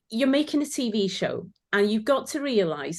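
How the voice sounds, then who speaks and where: A woman in a Welsh accent at a moderate pace, with very wide pitch swings and a quiet background. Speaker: former sewing competition finalist. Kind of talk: casual chat.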